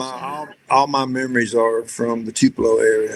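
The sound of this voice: A moderate pace in a strong Southern accent. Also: man. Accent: thick Southern.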